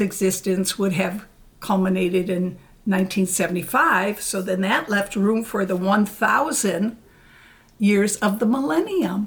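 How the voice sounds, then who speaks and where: A woman speaks at a fairly slow pace. Her voice is medium in pitch and somewhat breathy. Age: 70s. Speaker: former religious pioneer. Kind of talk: interview.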